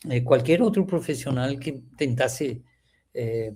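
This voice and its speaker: The speaker talks at a fairly slow pace with a Spanish accent. The tone is dark and mellow, somewhat breathy. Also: man. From Venezuela. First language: Spanish (speaking Portuguese). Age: 70s. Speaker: agronomy professor. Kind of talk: interview reminiscence. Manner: halting, with repetitions.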